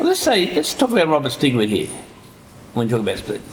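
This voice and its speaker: A man speaks with an Australian accent. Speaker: author. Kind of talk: panel discussion.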